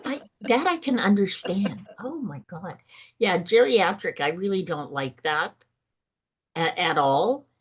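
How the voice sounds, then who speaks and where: A woman's fairly slow pace with very wide pitch swings. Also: medium pitch for a woman. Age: 70s. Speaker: entrepreneur. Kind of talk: podcast interview answer.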